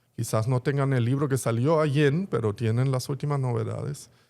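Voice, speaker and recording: In a German accent, the voice has a dark, mellow tone and ordinary pitch variation, on a very clean recording with a silent background. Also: man. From Germany (Berlin). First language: German (speaking Spanish). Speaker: bookstore executive. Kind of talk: interview conversation.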